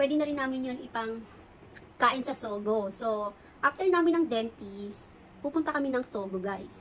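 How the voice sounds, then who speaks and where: Lively intonation in a woman's high voice, at a moderate pace. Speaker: beauty vlogger. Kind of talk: get ready with me vlog. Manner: soft-spoken.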